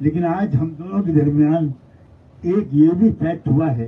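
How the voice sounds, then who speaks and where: The speaker is a man with a fairly high pitch and a dark, mellow tone. His pitch varies in an ordinary way. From Uttar Pradesh, India. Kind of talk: press conference speech.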